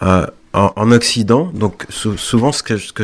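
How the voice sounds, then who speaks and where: A man speaks at a fairly low pitch and a fairly slow pace. His intonation stays fairly even. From Guadeloupe. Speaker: visual artist. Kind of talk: radio interview. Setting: radio studio. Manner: halting, many repeated words.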